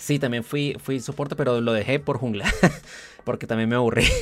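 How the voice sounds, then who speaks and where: A man at medium pitch, fairly even in intonation, at a moderate pace. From Colombia. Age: 20s. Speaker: podcast host. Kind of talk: casual interview chat.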